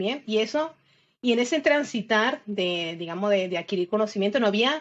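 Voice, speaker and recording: At a moderate pace and medium pitch, a woman talks in an ordinary speaking voice. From Venezuela, Isla de Margarita. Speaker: systems engineer and cloud security expert. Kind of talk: casual interview.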